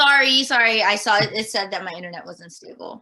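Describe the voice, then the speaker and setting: Fairly high in pitch, a woman speaks with an American accent. Her pace is fairly quick. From Guam, then Northern California from age ten. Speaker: elementary school teacher. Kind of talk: casual interview. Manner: hesitant, many fillers.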